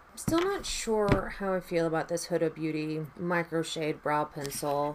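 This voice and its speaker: A woman's fairly low-pitched voice, fairly even in intonation, at a moderate pace amid noticeable background noise. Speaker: beauty vlogger. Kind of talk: makeup tutorial chat. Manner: casual, chatty.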